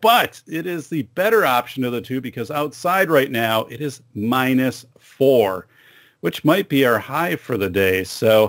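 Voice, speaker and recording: The intonation is lively and the pace fairly slow. The background is quiet. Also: man. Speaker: podcast host. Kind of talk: podcast intro monologue. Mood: upbeat, friendly. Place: studio. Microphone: studio mic.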